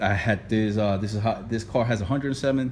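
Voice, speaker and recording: Moving at a moderate pace, a man speaks with ordinary pitch variation. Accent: strong non-native. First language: not English. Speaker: DIY car repair youtuber. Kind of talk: tutorial. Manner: casual, repetitive with many fillers.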